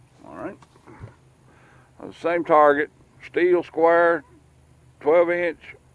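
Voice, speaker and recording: A man speaks very slowly in a high pitch, with a relaxed tone and a monotone, flat intonation. Long, frequent pauses break up his speech. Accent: Southern US. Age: 60s. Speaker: gun channel host. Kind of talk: casual shooting commentary. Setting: outdoors at a gun range. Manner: casual, relaxed.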